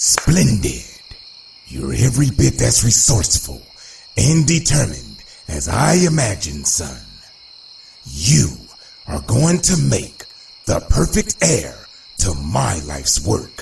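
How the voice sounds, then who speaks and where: In a cartoonish character voice, a man speaks with a very deep, low pitch. He goes at a fairly slow pace with long, frequent pauses. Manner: smooth, self-assured.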